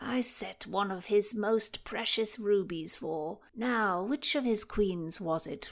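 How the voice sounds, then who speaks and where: In a very clean recording with a silent background, a woman uses a put-on character voice at a medium pitch, speaking at a fairly slow pace with ordinary pitch variation. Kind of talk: period Tudor speech. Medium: read story. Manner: musing, digressive.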